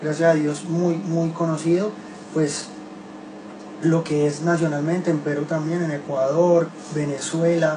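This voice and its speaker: A man with a Colombian accent talks at a fairly high pitch and a fairly slow pace, in a flat monotone with long, frequent pauses. Audible room echo and noticeable background noise fill the recording. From Colombia, Medellín. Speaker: reggaeton singer. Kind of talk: casual radio interview. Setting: radio studio.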